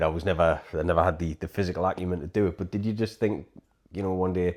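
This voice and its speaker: On a very clean recording with a silent background, a man with a British accent talks at a very fast pace with fairly even intonation. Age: 40s. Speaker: podcast host. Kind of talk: casual chat.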